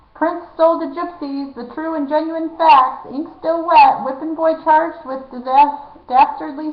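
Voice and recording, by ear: Using a put-on character voice, a woman sounds shrill as she speaks at a moderate pace.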